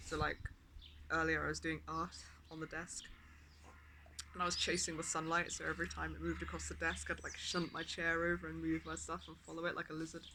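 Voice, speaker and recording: A man speaks at a very fast pace, broken by long, frequent pauses. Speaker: vlogger. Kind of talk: casual vlog monologue. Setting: outdoors. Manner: speaking louder than usual.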